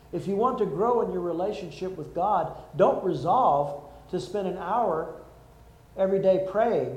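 The speaker is a man with a high pitch and ordinary pitch variation. He goes at a fairly slow pace amid noticeable background noise. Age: 60s. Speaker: pastor. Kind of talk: sermon.

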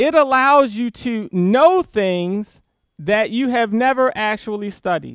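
This man has a high pitch and lively intonation. He speaks at a very slow pace. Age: 40s. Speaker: pastor. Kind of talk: sermon.

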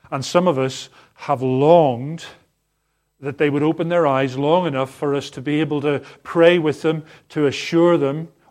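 A man speaks at a moderate pace in a plain, everyday voice, pitched fairly high. His intonation stays fairly even against a quiet background. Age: 50s. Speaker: pastor. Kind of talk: sermon. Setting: church.

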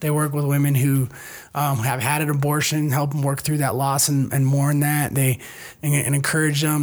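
Here a man speaks at a fairly high pitch, somewhat breathy. His intonation is monotone and flat. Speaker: pastor. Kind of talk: casual chat.

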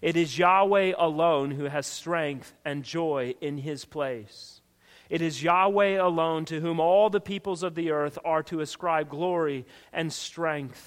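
A man with an ordinary speaking voice, fairly high-pitched, fairly slow, with fairly even intonation. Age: 40s. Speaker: pastor. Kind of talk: sermon. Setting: church.

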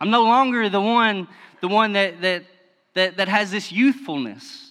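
A man with a Kentucky accent speaks in a raised, projected voice at a high pitch. His tone is bright and sharp, with ordinary pitch variation. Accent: Kentucky Southern US. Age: 30s. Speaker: lay preacher. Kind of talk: sermon. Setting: church.

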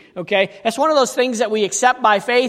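A man talks with ordinary pitch variation. Noticeable background noise sits behind him. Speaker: pastor. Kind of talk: sermon.

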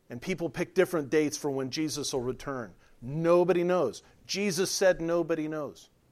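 A man uses an ordinary speaking voice, fairly high in pitch with ordinary pitch variation. He talks at a moderate pace on a very clean recording with a silent background. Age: 50s. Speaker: pastor. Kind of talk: sermon.

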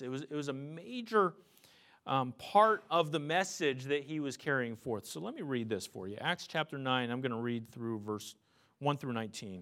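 A bright, sharp voice with an American accent moves at a moderate pace in a very clean recording with a silent background. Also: man. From US, Pennsylvania. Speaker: pastor. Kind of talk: sermon. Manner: halting, many fillers.

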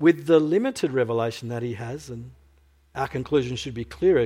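A man's somewhat breathy, dark, mellow voice at a medium pitch and moderate pace, in a very clean recording with a silent background. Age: 50s. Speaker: preacher. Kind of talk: sermon.

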